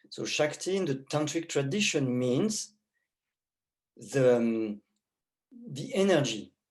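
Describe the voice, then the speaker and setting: Someone with a French accent speaks at a very slow pace, leaving long, frequent pauses. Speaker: tantra teacher. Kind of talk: lecture.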